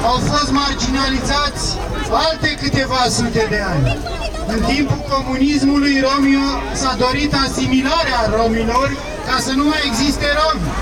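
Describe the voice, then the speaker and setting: Against crowd noise in the background, a man speaks at a fairly slow pace. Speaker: speaker. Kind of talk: protest speech. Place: street.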